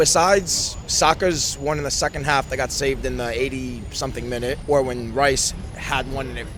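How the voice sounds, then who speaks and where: Noticeable background noise and audible room echo surround the recording. A man with an American accent speaks at a moderate pace. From United States. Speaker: football fan. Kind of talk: post-match fan interview.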